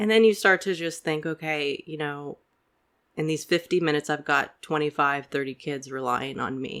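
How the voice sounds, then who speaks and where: A woman's very deep, low voice with an American accent and ordinary pitch variation, on a very clean recording with a silent background. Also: moderate pace. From Tampa, Florida. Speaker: English professor and poet. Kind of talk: casual conversation.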